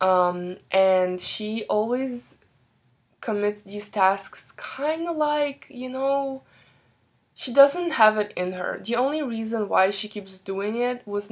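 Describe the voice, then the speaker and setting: A woman with a non-native accent, fairly slow in pace, with lively intonation. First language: not English. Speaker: book reviewer. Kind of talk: casual book review. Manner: hesitant, many fillers.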